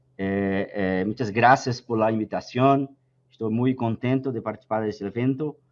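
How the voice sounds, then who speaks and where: A man's medium-pitched voice with a Brazilian accent and fairly even intonation. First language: Portuguese (speaking Spanish). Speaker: pension fund director and actuary. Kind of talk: conference presentation. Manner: slow, deliberate; hesitant.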